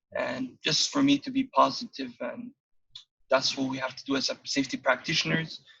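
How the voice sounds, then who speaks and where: Male speech with a Somali accent, a fairly quick pace and big swings in loudness, dry and close with no echo. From Somalia. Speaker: occupational safety practitioner and student. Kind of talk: interview conversation. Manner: hesitant, with many fillers.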